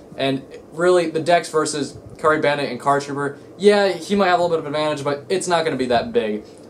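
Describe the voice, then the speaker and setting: A man speaks very fast in a fairly high voice with ordinary pitch variation, and there is noticeable background noise. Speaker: card game YouTuber. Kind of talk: casual vlog rant. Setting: home, in own room. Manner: halting, stuttering.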